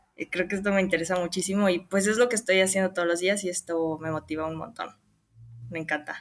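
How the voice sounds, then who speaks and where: Her pitch medium and her intonation fairly even, a woman talks at a very fast pace. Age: 20s. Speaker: crypto community contributor. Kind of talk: interview.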